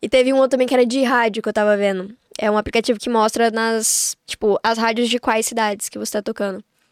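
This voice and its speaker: A woman talks very fast with hardly any pauses, her fairly high voice flat and monotone. The sound is dry and close, with no echo. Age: 20s. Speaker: singer-songwriter. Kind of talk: casual chat.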